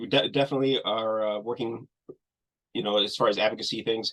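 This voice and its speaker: A fairly low-pitched man at a fairly quick pace. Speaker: nonprofit executive director. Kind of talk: webinar Q&A. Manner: fast.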